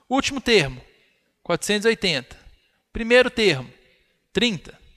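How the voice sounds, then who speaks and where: A man projects a raised, high-pitched voice with a bright, sharp tone and very wide swings in pitch. The sound is dry and close, with no echo. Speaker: math teacher. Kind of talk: live online lecture.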